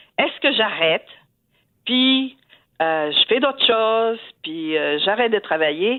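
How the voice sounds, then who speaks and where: Speaking at a fairly high pitch, a woman makes very wide pitch swings while her loudness stays very even. She goes very slowly, with long, frequent pauses. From southern France. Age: 70s. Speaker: retiree working part-time as secretary. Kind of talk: radio interview. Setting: radio studio. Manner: animated.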